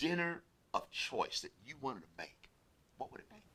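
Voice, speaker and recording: His voice is high for a man, with a bright, sharp tone. He speaks at a moderate pace. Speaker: interview show host. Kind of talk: casual interview. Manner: loud; animated.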